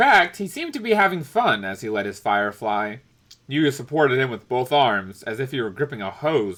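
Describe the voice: What comes through is plain reading aloud.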